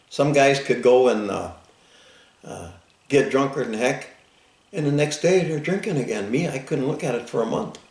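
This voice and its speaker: Room echo is audible as a man speaks at a moderate pace and fairly high pitch with ordinary pitch variation. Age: 70s. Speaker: Vietnam war veteran and farmer. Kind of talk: oral history interview. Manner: halting, repetitive starts.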